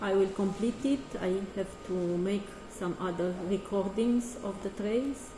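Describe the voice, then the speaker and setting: A woman with a Romanian accent speaks at a medium pitch with ordinary pitch variation. There is audible room echo and noticeable background noise. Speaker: artist and choreographer. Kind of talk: artist talk presentation. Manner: halting.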